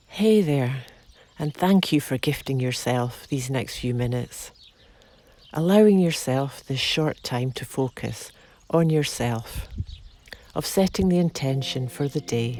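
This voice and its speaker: Speaking at a fairly slow pace with long, frequent pauses, a woman with a very deep, low pitch uses lively intonation in a dark, mellow, soothing and calm tone. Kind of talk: guided meditation. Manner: slow, soothing, calm.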